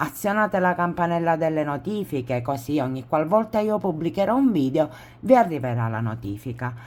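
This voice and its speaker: A woman's very deep, low voice with very wide pitch swings. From Sicily. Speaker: crochet tutorial creator. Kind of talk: tutorial. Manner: casual, with self-corrections.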